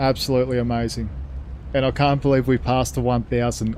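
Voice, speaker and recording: At a fairly quick pace, a man with an Australian accent speaks at a medium pitch. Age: 70s. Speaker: gaming streamer. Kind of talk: live gameplay commentary. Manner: animated.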